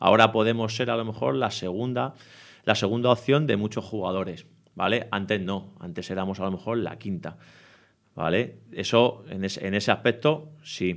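In a very clean recording over a silent background, an unremarkable speaking voice moves at a moderate pace with ordinary pitch variation. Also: man, fairly low pitch for a man. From Spain, Madrid area (Leganés). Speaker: youth football coach. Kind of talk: interview.

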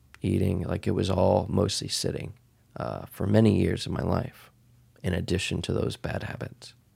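A man's fairly low voice with vocal fry and an American accent, broken by long, frequent pauses. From Texas, US. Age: 30s. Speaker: podcast host. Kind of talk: solo podcast monologue. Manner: casual with frequent fillers.

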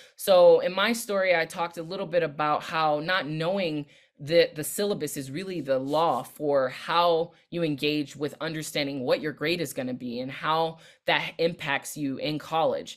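With an American accent, a woman talks at a moderate pace and ordinary pitch variation. Her pitch is very deep and low. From Southern California, LA County. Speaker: keynote speaker and education consultant. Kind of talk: keynote talk. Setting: virtual summit online.

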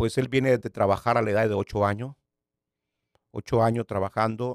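The audio is very clean, and the background is silent. The speaker is a man. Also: dry, close sound with no echo. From Nicaragua. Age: 60s. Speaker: pastor. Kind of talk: testimony.

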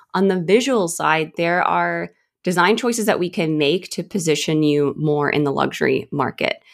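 On a very clean recording with a silent background, a woman with an American accent speaks at a moderate pace in a fairly low pitch with ordinary pitch variation. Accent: American, slightly shifting toward Australian. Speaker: design agency owner. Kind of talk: casual interview.

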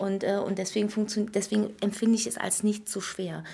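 This woman talks at a moderate pace in a medium pitch, with vocal fry. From Berlin, former East Germany. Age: 40s. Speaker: entrepreneur running daycare centres. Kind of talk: casual interview chat.

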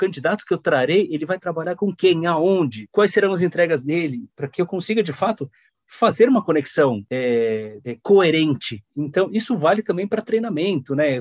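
Speaking at a moderate pace with hardly any pauses, a man uses a high pitch and very wide pitch swings. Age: 40s. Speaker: human resources professional. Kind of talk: interview.

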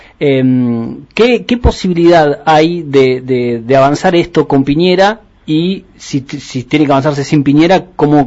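With ordinary pitch variation, a man's voice sits rather high for a male speaker. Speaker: radio host. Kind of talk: interview. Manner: halting.

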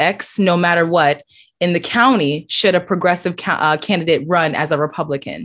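A woman speaks in a plain, everyday voice at a fairly low pitch with ordinary pitch variation. She keeps a moderate pace against a quiet background. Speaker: podcast co-host. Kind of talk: casual conversational podcast.

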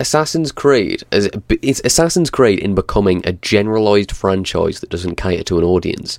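Lively intonation from a man using a plain, everyday voice. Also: fairly low pitch for a man. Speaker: podcast co-host. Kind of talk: casual chat. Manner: swearing, casual.

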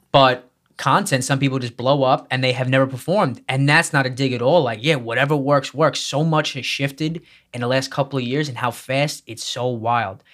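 Pitched at a medium level, a man has an unremarkable speaking voice and fairly even intonation. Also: fairly quick pace, very clean recording, silent background. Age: 20s. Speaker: podcast host. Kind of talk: casual interview chat.

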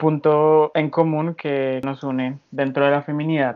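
Someone with a Colombian accent speaks at a fairly slow pace. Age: 20s. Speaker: artist and translation student. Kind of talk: casual chat.

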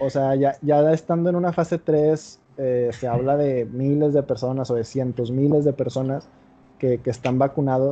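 A man with a Mexican accent talks at a moderate pace. His pitch is fairly high and his intonation fairly even. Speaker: podcast host. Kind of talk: casual chat.

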